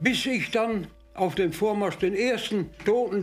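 A man speaks with faint music in the background. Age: 80s+. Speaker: master baker; war veteran. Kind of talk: interview answer. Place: kitchen.

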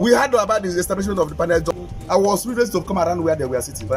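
There is clear music in the background as a man talks. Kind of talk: interview answer. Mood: indignant criticism. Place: street. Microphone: handheld.

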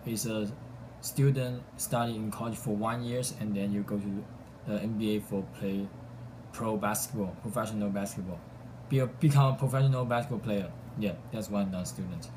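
Somewhat breathy and dark, mellow in tone, a man with a Chinese accent speaks at a fairly quick pace with fairly even intonation over noticeable background noise. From southern China. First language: Mandarin Chinese. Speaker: college student; vlogger. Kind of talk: self-introduction video. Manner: halting. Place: home room. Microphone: phone near.

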